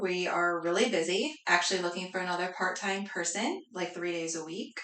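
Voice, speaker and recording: With an American accent, a woman speaks at medium pitch with ordinary pitch variation and hardly any pauses, amid noticeable background noise and audible room echo. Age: 30s. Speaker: cleaning business owner. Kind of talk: casual interview.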